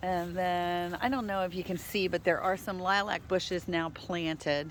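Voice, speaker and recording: With an ordinary speaking voice, a woman of medium pitch talks at a moderate pace with fairly even intonation. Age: 60s. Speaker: dog rescue ranch owner. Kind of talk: casual walking video tour. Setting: outdoors. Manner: relaxed, chatty.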